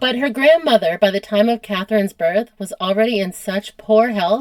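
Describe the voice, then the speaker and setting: At a moderate pace, a woman speaks in a plain, everyday voice, fairly high in pitch with ordinary pitch variation, in a dry, close sound with no echo. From United States. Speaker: history podcast host. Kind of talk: casual conversational storytelling.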